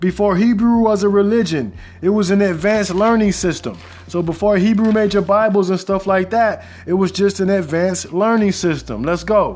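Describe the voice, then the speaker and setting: Noticeable background noise sits behind a man speaking at a high pitch. His intonation is fairly even, and his loudness is very even. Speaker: podcast host. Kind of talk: solo podcast monologue. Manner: fast.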